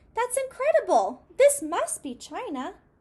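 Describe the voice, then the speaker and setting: Putting on a squeaky character voice, a woman speaks at an extremely high pitch with very wide pitch swings. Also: moderate pace. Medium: read story.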